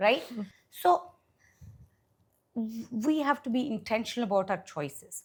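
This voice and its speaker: Somewhat breathy and fairly high-pitched, a woman speaks at a fairly slow pace with very wide pitch swings and long, frequent pauses. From India, Hyderabad. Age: 60s. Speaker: venture capitalist. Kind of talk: interview conversation. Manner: animated.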